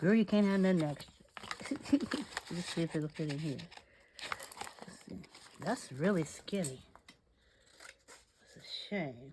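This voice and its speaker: Noticeable background noise accompanies a woman speaking at a fairly slow pace with lively intonation. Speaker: crafting channel host. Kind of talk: craft tutorial. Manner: casual, talking to herself; quieter than usual.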